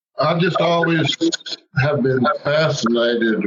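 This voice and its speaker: In a Southern US accent, a man speaks. His pace is very slow. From US South, Alabama from teens; military bases before. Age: 60s. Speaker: novelist. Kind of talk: interview. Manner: halting, repeats words.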